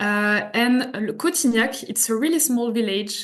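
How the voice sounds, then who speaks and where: A woman talks with a French accent at a fairly high pitch. Her pace is fairly slow, with ordinary pitch variation. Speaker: hotel representative. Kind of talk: presentation. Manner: halting.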